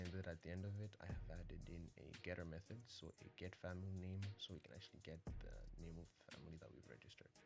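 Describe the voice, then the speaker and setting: A man's very deep, low voice at a very fast pace, with music in the background. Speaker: programming tutor. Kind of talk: casual coding tutorial narration.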